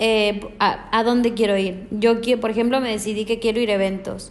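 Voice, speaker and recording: A woman with an unremarkable speaking voice talks at a fairly quick pace. Her pitch is fairly high and her intonation fairly even. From Mexico. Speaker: hospitality management student. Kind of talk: interview.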